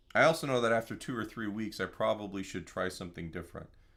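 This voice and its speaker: With ordinary pitch variation, this man delivers his words at a fairly quick pace. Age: 50s. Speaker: guitar teacher. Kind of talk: live online guitar lesson. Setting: live stream. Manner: casual, halting with fillers.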